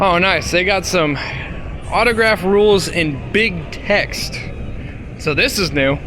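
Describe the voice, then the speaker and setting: A man speaks with lively intonation and audible room echo. Music plays in the background. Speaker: vlogger. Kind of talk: vlog narration. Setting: outdoors walking on street. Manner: stutter; casual, filler-heavy.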